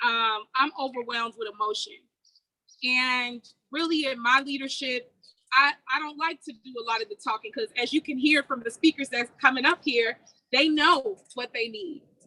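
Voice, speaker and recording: A woman's raised, projected voice, high and bright with a sharp tone, American accent, moderate pace, ordinary pitch variation, big swings in loudness. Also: dry, close sound with no echo. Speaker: congressional candidate. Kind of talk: rally speech.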